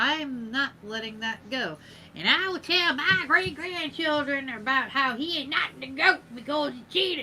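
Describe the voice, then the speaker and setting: Using a put-on character voice, a woman speaks at a high pitch over clear background noise. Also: moderate pace, lively intonation. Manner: indignant.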